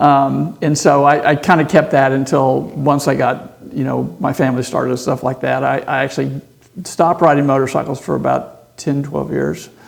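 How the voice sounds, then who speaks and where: A man with an American accent at a moderate pace, music in the background. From Texas, Houston. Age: 60s. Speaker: surgeon and motorcycle racer. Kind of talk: podcast interview. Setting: racetrack.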